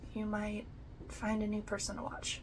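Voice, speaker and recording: A woman speaks in a calm tone amid audible room echo. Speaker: crafting YouTuber. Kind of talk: casual chat.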